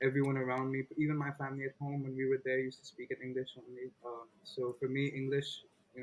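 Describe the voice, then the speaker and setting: Very fast, monotone speech with flat intonation in an American accent, over noticeable background noise. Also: man. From India, Delhi; childhood in Los Angeles. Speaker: rapper. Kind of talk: interview. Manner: casual.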